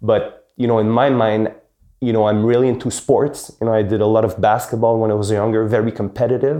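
A man with a Quebec accent speaks fairly quickly at a medium pitch, flat and monotone, his loudness very even. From Quebec, with teen years in Paris. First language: French. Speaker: real estate executive. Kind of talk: interview. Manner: hesitant, many fillers.

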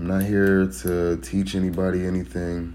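A man speaks with a very deep, low pitch. Audible room echo surrounds his voice. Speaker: first-time podcaster. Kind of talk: solo monologue.

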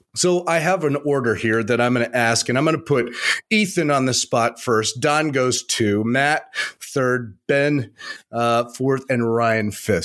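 A man with an American accent, medium pitch, very even loudness and a very slow pace. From Arizona. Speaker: podcast co-host. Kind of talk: casual chat.

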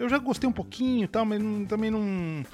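A man's lively intonation at a high pitch and fairly quick pace. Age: 40s. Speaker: podcast co-host. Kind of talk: casual chat.

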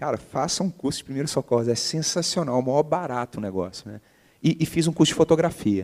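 Loudness swings widely as a man with a fairly high pitch and lively intonation speaks at a fairly quick pace. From Brazil, Minas Gerais (Belo Horizonte). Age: 40s. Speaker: entrepreneur. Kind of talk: interview. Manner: halting.

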